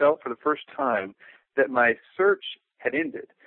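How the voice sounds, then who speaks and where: A man talks at a moderate pace in an unremarkable speaking voice. His pitch sits fairly high. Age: 20s. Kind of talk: interview. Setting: phone call.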